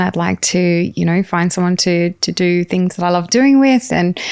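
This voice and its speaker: A woman talks with an Australian accent. Her pitch is fairly low and her pace moderate. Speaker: author and keynote speaker. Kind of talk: personal testimony in interview. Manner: hesitant, many fillers.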